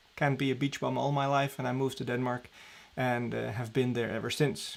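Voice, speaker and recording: A man speaks with a Dutch accent at a moderate pace. His medium-pitched voice comes through on a very clean recording with a silent background. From Netherlands, Amsterdam. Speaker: diving training director. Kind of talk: live stream Q&A. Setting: live stream at home. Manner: casual, with many fillers.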